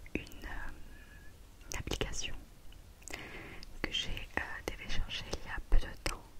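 Whispering throughout. The pace is very slow. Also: woman. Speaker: ASMR creator. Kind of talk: ASMR whisper video, casual talk to camera. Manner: whispered, soft-spoken. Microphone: studio mic.

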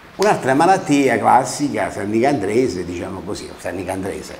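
A man is talking over light background noise. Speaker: local dialect presenter. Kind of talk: casual explanatory talk to camera. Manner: hesitant, conversational. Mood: warm, amused. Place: studio. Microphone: lapel.

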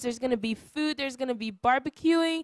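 A woman's high-pitched, animated voice with ordinary pitch variation, dry with no echo over a quiet background. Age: 20s. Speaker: church program host. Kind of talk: welcome announcements; casual chat. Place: studio. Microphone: handheld.

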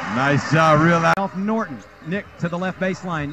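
Noticeable background noise sits behind this man, whose voice is raised and projected. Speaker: live sports commentator. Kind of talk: live play-by-play basketball commentary, rapid-fire calling of shots and passes. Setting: arena, broadcasting from the game.

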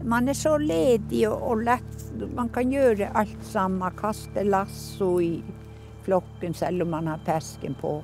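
A woman at a very slow pace with music in the background. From Northern Norway, Sámi. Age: 80s+. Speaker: reindeer herder. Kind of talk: documentary interview, personal story.

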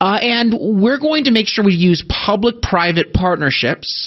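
Moderately paced speech with a quiet background. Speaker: talk radio host. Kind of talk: radio commentary. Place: studio.

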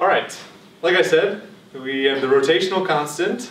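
Light background noise and audible room echo surround a man talking at a fairly quick pace. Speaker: lecturer. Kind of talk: lecture. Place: classroom. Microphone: camera far.

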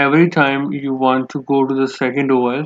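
A man speaks with little pitch movement. The sound is dry and close, with no echo.

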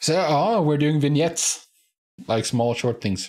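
Slightly mellow tone, lively intonation, and a slow pace. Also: man, fairly high pitch for a man.

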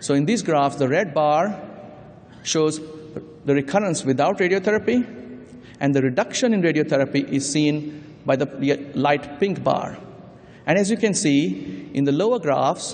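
The intonation is lively and the pace moderate. Long pauses come often. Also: man. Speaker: conference presenter. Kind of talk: lecture. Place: hall. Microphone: podium.

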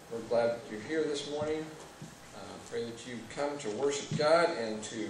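There is noticeable background noise and audible room echo. A man speaks at a moderate pace with ordinary pitch variation. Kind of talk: welcome and announcements. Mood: warm, lightly joking. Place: church. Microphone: podium.

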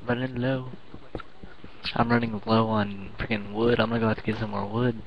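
Against noticeable background noise, a man talks at a moderate pace in a medium-pitched voice with monotone, flat intonation. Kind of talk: gameplay commentary.

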